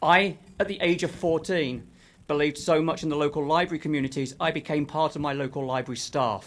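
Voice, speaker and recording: A man with a London accent speaks at a moderate pace in a fairly high voice with ordinary pitch variation. The recording is very clean, with a silent background. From London, England. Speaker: author and former library worker. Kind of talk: public comment. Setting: city council meeting.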